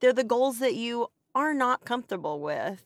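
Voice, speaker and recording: On a very clean recording with a silent background, a woman's animated voice comes across dry and close with no echo, with ordinary pitch variation. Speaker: special education teacher and podcast co-host. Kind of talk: casual chat.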